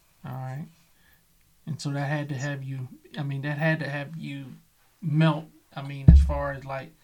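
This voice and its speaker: A man with a dark, mellow tone and a fairly high, somewhat breathy voice speaks at a moderate pace in a monotone, flat intonation, his loudness swinging widely around long, frequent pauses. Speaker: podcast host. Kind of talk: interview.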